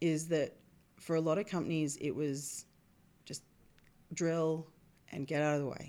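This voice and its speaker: Speaking with an Australian accent, a woman has a very deep, low pitch and a dark, mellow tone. Her intonation is monotone and flat, at a moderate pace with long, frequent pauses. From Australia (Perth). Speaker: reservoir engineer. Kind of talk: podcast interview.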